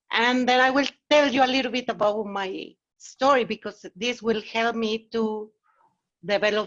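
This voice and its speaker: A woman with a fairly high pitch is heard in a dry, close sound with no echo over a quiet background. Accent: Mexican. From Mexico. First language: Spanish. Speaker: agile consultant. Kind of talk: meetup talk. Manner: casual, conversational.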